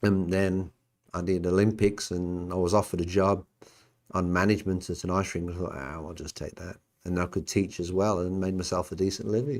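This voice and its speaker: With a Birmingham accent, a man talks at a fairly quick pace in a very deep, low pitch, his intonation fairly even while his loudness swings widely. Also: very clean recording, silent background. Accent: Birmingham English (Brummie). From England, Birmingham. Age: 60s. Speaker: podcast host, former Olympic athlete. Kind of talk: casual chat. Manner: halting.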